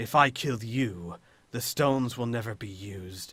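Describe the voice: The clip is plain reading aloud. Its pitch moves up and down in an ordinary way.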